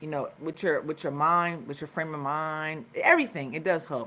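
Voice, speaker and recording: A woman with an American accent speaks at a moderate pace in a fairly low pitch, with an unremarkable speaking voice. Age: 40s. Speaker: podcast host. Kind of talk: live stream wellness talk. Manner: casual, conversational.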